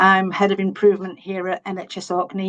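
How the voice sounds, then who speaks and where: A woman speaks at medium pitch. The sound is dry and close with no echo. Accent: Yorkshire. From Yorkshire, England. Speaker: health service manager. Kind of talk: conference presentation.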